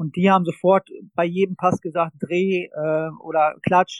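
Recorded with a dry, close sound and no echo, a man with a high pitch speaks in a fairly even intonation. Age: 30s. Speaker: football coach. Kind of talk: interview.

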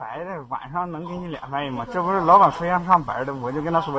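Here a man speaks at a very fast pace with a fairly high pitch and ordinary pitch variation. Noticeable background noise is present. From Shandong, China. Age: young. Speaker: caller. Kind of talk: casual chat. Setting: voice chat from an internet cafe. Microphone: too quiet.

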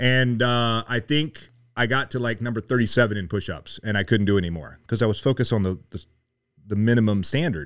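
Speaking at a fairly quick pace, a man with a normal speaking voice, medium pitch and an American accent shows ordinary pitch variation. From US South, Mississippi. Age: 50s. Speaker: retired Navy SEAL, leadership coach. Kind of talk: casual chat.

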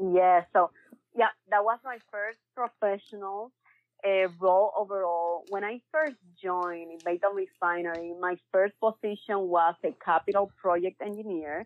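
A woman with a Spanish accent speaks at medium pitch in an enthusiastic tone, fairly slowly and with ordinary pitch variation. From Cuba. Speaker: energy industry consultant. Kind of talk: casual interview. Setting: call.

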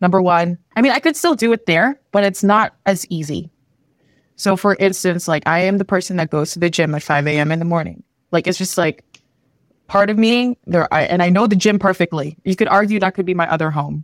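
With an ordinary speaking voice and a Canadian accent, the speaker goes at a fairly quick pace in a dry, close sound with no echo. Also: woman, medium pitch for a woman, ordinary pitch variation. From Philippines, then Canada from age 8. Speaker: product designer and UX instructor. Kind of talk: casual interview chat.

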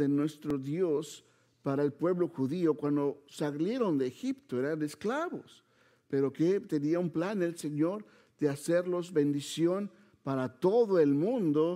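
A man's fairly high voice with a dark, mellow tone, ordinary pitch variation and a very slow pace. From Mexico City. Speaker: preacher. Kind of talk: sermon. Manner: halting.

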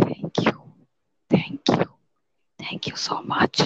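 In a put-on character voice, someone whispers very slowly with a raspy sound. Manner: whispering.

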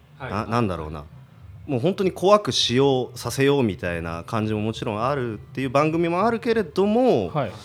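This man talks fairly quickly at a medium pitch. His pitch swings very widely. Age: 30s. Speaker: YouTube commentator, air-conditioner salesman. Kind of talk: casual chat.

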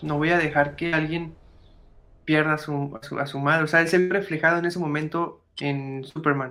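With music in the background, a man with a Mexican accent and fairly high pitch talks monotone and flat at a fairly slow pace, leaving long, frequent pauses. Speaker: podcast host. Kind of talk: casual chat. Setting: live stream.

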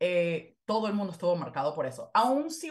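A woman talks at a moderate pace in a medium-pitched, somewhat breathy voice. Her pitch swings very widely. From Venezuela. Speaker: historian and author. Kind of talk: interview.

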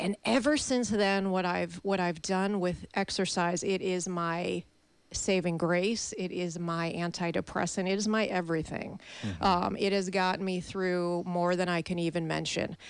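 A woman with an American accent and fairly even intonation, in a normal speaking voice. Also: fairly low pitch for a woman, moderate pace. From Chicago. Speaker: fitness instructor. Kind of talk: casual chat. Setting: studio.

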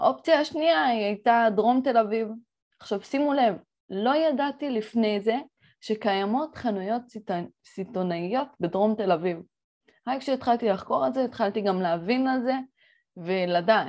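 A woman's fairly high, lively voice at a moderate pace, with long, frequent pauses and a quiet background. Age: 20s. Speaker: entrepreneur and podcast host. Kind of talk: solo podcast monologue. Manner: animated.

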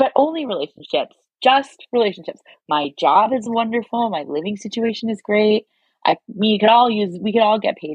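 With a Canadian accent, the somewhat breathy voice moves through lively intonation. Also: woman, fairly high pitch for a woman, moderate pace. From Canada, Toronto. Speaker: digital strategist. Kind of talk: casual chat.

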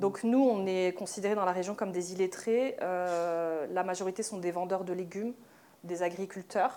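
A plain, everyday voice from a woman, medium in pitch, at a fairly slow pace with fairly even intonation. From France, Moroccan Amazigh family from Oujda. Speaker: dancer and choreographer. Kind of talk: panel discussion. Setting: live event with audience.

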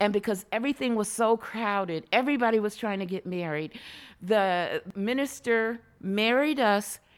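A woman with a plain, everyday voice speaks fairly slowly at a fairly high pitch, with ordinary pitch variation. The recording is very clean, with a silent background. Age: 60s. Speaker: LGBTQ senior advocate. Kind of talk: interview. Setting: studio.

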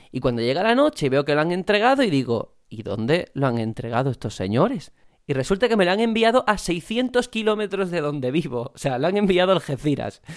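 A man's high voice with very wide pitch swings at a fairly quick pace, hardly any pauses, on a very clean recording with a silent background. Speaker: podcast host. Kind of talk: casual chat.

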